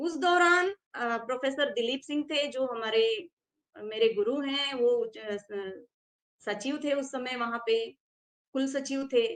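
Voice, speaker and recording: A woman speaks at a high pitch. Her pitch varies in an ordinary way. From South India (Karnataka). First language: Tamil (speaking Hindi). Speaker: Hindi scholar and teacher. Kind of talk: interview, personal account. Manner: hesitant, with fillers.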